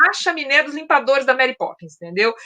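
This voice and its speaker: A woman with a raised, projected voice talks at a fairly quick pace, her high pitch, bright, sharp tone, and lively intonation all clear. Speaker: book channel host, former radio and news journalist. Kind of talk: casual chat. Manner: fast.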